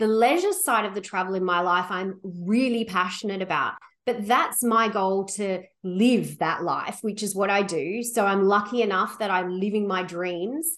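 With an Australian accent, a woman talks at a moderate pace at a medium pitch, with ordinary pitch variation. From Australia, Sydney. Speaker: travel company founder. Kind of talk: interview.

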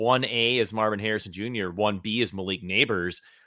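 A man talks at a moderate pace with a medium pitch and ordinary pitch variation. He has a plain, everyday voice. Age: 40s. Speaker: fantasy football podcast host. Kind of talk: casual chat.

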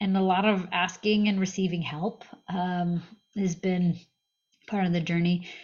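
A woman with an American accent speaks fairly slowly at a medium pitch, somewhat breathy and monotone, her loudness very even and her pauses long and frequent. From US Northeast, Massachusetts. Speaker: startup founder. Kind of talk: interview.

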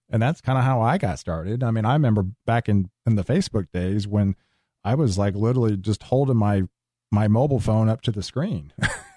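A man with a fairly low pitch and a dark, mellow tone speaks at a fairly quick pace in an American accent, with ordinary pitch variation and very even loudness, recorded dry and close with no echo against a quiet background. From US Texas. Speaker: weather forecaster. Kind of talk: casual interview.

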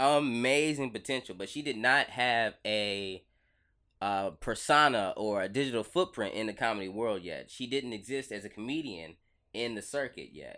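On a very clean recording with a silent background, the voice has a bright, sharp tone and an American accent. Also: man, medium pitch for a man, ordinary pitch variation, moderate pace. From US Midwest/South (Alton, St. Louis, Mississippi). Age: 30s. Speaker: stand-up comedian. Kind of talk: casual interview chat. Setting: podcast studio.

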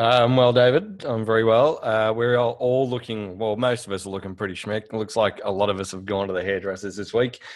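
Speaking with an Australian accent, a man moves at a fairly quick pace with hardly any pauses and fairly even intonation. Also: medium pitch for a man. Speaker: podcast co-host. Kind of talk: casual chat. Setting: video call.

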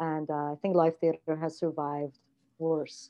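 In an Iranian accent, a woman talks at a fairly low pitch. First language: Farsi. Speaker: theatre artistic director. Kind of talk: casual interview chat. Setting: video call. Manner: hesitant, many fillers.

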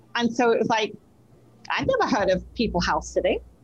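Speaking in an English accent, a woman uses a fairly high pitch. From England. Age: 60s. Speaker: clairvoyant medium. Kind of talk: casual chat.

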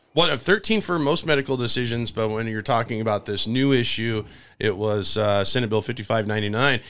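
A man talks at a fairly quick pace and medium pitch, with ordinary pitch variation, in an ordinary speaking voice. The recording is very clean, with a silent background. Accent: American. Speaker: political talk show host. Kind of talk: interview. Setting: studio.

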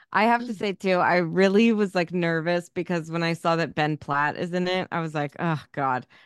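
A woman's plain, everyday voice, fairly low in pitch with ordinary pitch variation, at a moderate pace against a quiet background, in a dry, close sound with no echo. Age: 30s. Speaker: podcast co-host. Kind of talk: casual chat.

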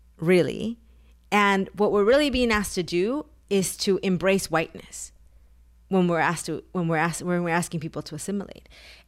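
In a Spanish accent, a woman with a medium pitch talks at a fairly quick pace with ordinary pitch variation on a very clean recording with a silent background. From Mexico (Taxco, Guerrero), moved to US at 11. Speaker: author and activist. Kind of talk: interview.

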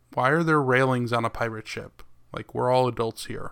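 On a very clean recording with a silent background, a man talks in a plain, everyday voice at a medium pitch with fairly even intonation. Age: 30s. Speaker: podcast co-host. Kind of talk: casual chat.

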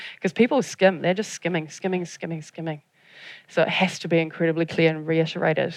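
This woman talks at a very fast pace in a New Zealand accent. Her pitch sits fairly low. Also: fairly even intonation. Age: 40s. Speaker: audience engagement specialist. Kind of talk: conference talk. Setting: stage with audience.

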